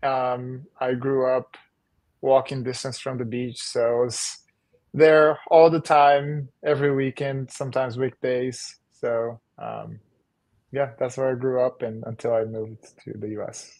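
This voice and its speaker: Big swings in loudness mark this man's fairly slow speech. He has a Portuguese accent, medium pitch and fairly even intonation. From northeastern Brazil, Maceió. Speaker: volleyball coach and former pro player. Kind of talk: podcast interview.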